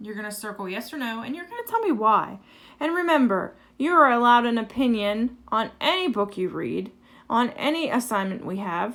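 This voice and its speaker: In a very clean recording with a silent background, a woman with a high pitch and a bright, sharp tone speaks at a moderate pace with lively intonation. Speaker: elementary school teacher. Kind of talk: tutorial.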